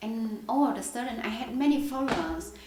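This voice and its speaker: Over noticeable background noise and audible room echo, a woman speaks at a high pitch with a Vietnamese accent. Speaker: poet. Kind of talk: Q&A at poetry reading. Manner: halting.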